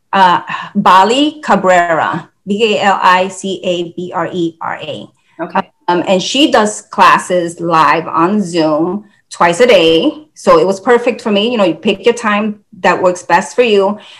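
A woman talks at a fairly slow pace in an ordinary speaking voice. Her pitch is medium, with ordinary pitch variation. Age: 50s. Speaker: fitness enthusiast sharing weight loss journey. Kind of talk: casual interview.

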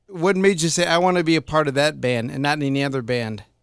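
Very fast, lively speech from a man with a fairly high voice. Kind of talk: casual podcast interview.

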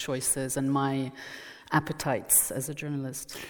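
In a French accent, a woman speaks at a fairly slow pace. Her pitch is very deep and low. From France, Burgundy. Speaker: journalist and former newspaper editor. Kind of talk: public conversation. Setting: stage with audience.

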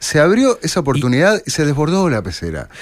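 This man's voice has very wide pitch swings. He is the one speaking. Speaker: radio host. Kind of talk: radio interview.

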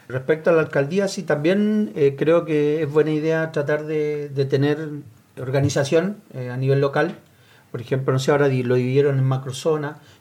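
Fairly high for a man, his voice has a dark, mellow tone, moving at a moderate pace with fairly even intonation. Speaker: sports club leader. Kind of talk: panel discussion.

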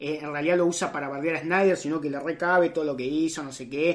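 Her pitch fairly low, a woman speaks in a Rioplatense accent. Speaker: podcast host. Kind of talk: casual chat.

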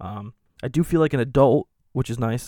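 A man talks at a moderate pace with a dark, mellow tone and ordinary pitch variation, recorded very cleanly against a silent background. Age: 20s. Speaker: podcast host. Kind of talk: solo monologue. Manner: halting, many fillers.

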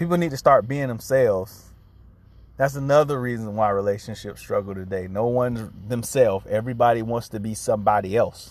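Here a man talks at a fairly quick pace in an unremarkable speaking voice. His pitch sits in the medium range with ordinary variation. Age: 30s. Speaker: podcast host. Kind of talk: solo podcast monologue. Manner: casual.

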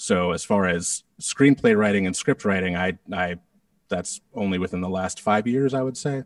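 On a very clean recording with a silent background and a dry, close sound with no echo, a man with an American accent speaks in an unremarkable speaking voice at a moderate pace, his fairly low pitch showing ordinary variation. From Connecticut, New England. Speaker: podcast creator and composer. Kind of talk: casual interview.

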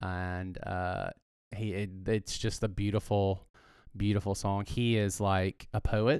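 A man with a Southern US accent speaks at a fairly low pitch in a very clean recording with a silent background. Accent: US South. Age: 40s. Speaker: pastor. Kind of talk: casual chat.

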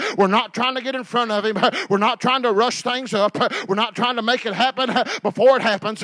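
A man with an extremely high pitch and an animated, warm tone at a fairly quick pace, dry and close with no echo, over noticeable background noise. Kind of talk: sermon, preacher in full flow. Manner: animated, call-and-response, urging the congregation to say amen; conversational and plain-spoken, warm, with homespun metaphors.

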